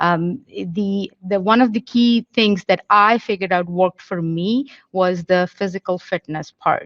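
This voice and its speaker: Speaking at a fairly slow pace with hardly any pauses, a woman with an Indian accent has a medium pitch and ordinary pitch variation. The sound is dry and close, with no echo. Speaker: police officer. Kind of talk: panel Q&A answer. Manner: halting, many fillers.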